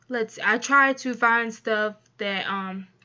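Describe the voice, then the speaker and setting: A soft-spoken woman's fairly high voice, bright and sharp in tone, against a quiet background. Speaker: YouTuber and streamer. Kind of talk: casual vlog talk to camera. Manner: halting, many fillers.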